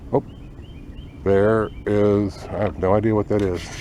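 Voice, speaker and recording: A man speaks quietly at a fairly low pitch. His intonation stays fairly even. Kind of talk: nature walk video for students. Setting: outdoors on nature trail. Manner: quiet, keeping voice down.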